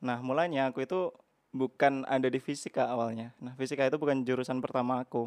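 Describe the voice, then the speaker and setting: A man's medium-pitched voice at a very fast pace, with fairly even intonation and a dry, close sound with no echo. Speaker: university student. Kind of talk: casual chat.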